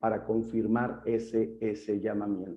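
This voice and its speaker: Speaking very slowly, a man is heard with audible room echo. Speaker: pastor. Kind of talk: lecture.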